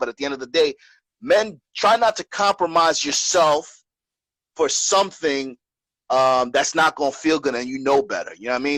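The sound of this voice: With a fairly bright tone and fairly high pitch, a man speaks at a moderate pace with ordinary pitch variation, in a dry, close sound with no echo.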